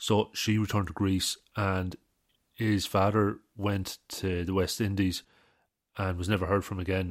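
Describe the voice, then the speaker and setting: A man with an Irish Midlands accent speaks fairly slowly in a very deep, low, monotone voice, recorded very cleanly against a silent background with a dry, close sound and no echo. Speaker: artist and podcast host. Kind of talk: casual solo talk. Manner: casual, with many fillers.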